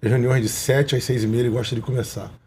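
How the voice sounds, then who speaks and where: There is a dark, mellow tone to this somewhat breathy male voice. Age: 40s. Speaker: businessman and political candidate. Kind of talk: interview.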